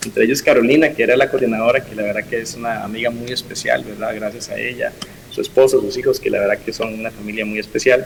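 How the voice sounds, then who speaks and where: A man's very fast speech over noticeable background noise. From Costa Rica, Upala. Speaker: pastor. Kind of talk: interview testimony.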